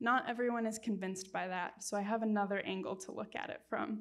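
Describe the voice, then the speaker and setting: A woman speaks with medium pitch and fairly even intonation. She has a plain, everyday voice. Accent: American. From United States. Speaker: wildlife researcher. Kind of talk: public lecture Q&A. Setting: lecture room with audience and Zoom.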